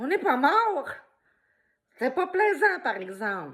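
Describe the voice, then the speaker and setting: A woman with a Quebec accent, animated in tone, her pitch swinging very widely. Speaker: video blogger. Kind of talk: opinion vlog monologue. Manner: loud.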